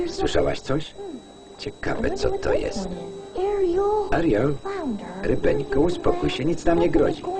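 A man is speaking with long, frequent pauses. Music is playing in the background. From Poland. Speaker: film voice-over reader. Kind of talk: film voice-over lektor reading.

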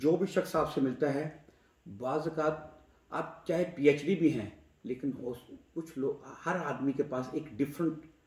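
A man's fairly high-pitched voice moves along very slowly. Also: ordinary pitch variation. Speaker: talk show host. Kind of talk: casual chat.

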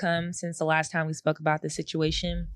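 A woman speaks in an animated tone, recorded dry with no echo against a quiet background. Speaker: podcast co-host. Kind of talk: casual chat. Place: studio. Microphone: studio mic.

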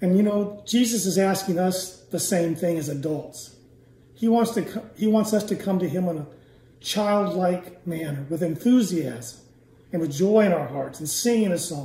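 With audible room echo around him, a man talks at a moderate pace. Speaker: church elder. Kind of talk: closing prayer. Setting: church. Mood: reverent, eyes closed praying. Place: home room. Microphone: phone near.

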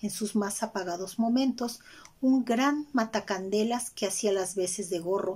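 A natural reading voice is heard here. The pitch moves in an ordinary way.

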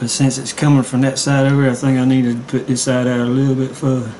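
A speaker with a Southern US accent talks at a fairly quick pace in a relaxed, monotone, flat voice. Light background noise can be heard. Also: man. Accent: Southern US twang. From Southern United States. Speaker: amateur artist. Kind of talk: casual drawing tutorial narration. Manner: relaxed, rambling.

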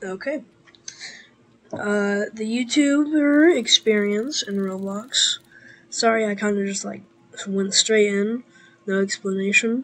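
A woman's fairly high voice with ordinary pitch variation, at a very slow pace with long, frequent pauses. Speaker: gaming YouTuber. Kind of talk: gameplay commentary. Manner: hesitant, many fillers.

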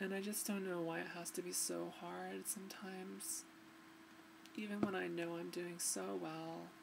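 Noticeable background noise fills the clip. A woman talks over it at a moderate pace. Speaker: vlogger. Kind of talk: personal video diary. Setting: home recording to webcam. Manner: halting. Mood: emotional, reflective, somewhat subdued. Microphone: webcam.

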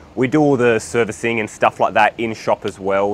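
A man speaks at a fairly quick pace with ordinary pitch variation. The sound is dry with no echo, with light background noise. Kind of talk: interview answer. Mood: friendly, relaxed. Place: street.

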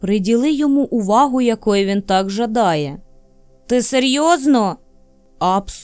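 Simply a natural reading voice

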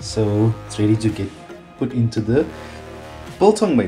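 Clear music plays in the background as a man talks at a fairly slow pace with a fairly low pitch. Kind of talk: tutorial. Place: kitchen. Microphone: phone near.

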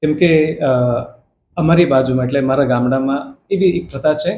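His voice is fairly high-pitched for a man, somewhat breathy, with a dark, mellow tone. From Karnataka, India (Hassan district village). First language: Kannada (speaking Gujarati). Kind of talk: interview.

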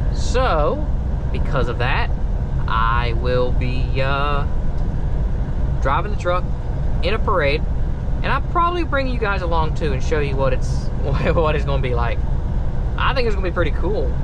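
Speech at a moderate pace with long, frequent pauses comes through loud background noise in a dry sound with no echo. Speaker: truck driver vlogger. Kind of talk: casual vlog chat. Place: car. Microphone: phone near.

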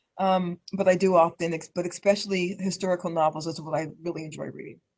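A woman with an American accent speaks very fast at a fairly low pitch, monotone and flat in intonation, with big swings in loudness. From US West, Denver, Colorado. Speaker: local politician. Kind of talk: interview. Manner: many fillers and repetitions.

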